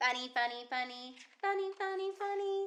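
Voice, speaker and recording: The voice is a put-on character voice, and it is squeaky. It moves at a moderate pace. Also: woman, extremely high pitch for a woman. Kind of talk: bedtime story voices. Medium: read story. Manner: emphatic, animated.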